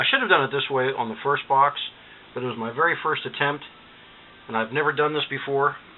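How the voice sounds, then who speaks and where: A man with a fairly high pitch talks at a fairly quick pace with fairly even intonation. He leaves long, frequent pauses, and background noise is noticeable. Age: 60s. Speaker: DIY electronics hobbyist. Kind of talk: tutorial. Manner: casual, hesitant with fillers.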